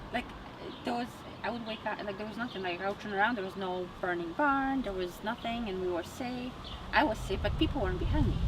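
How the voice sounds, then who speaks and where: A woman with a Polish accent at medium pitch and a very fast pace, with ordinary pitch variation, audible room echo and noticeable background noise. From Poland, Gdańsk. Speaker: psychic medium. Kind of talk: casual interview.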